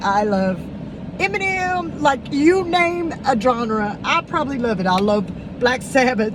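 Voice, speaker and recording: A woman with an Alabama accent talks in very wide pitch swings, with audible room echo and noticeable background noise. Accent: Southern US (Alabama). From Alabama, US South. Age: 40s. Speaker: K-pop fan vlogger. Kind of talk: personal video message. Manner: halting, with fillers.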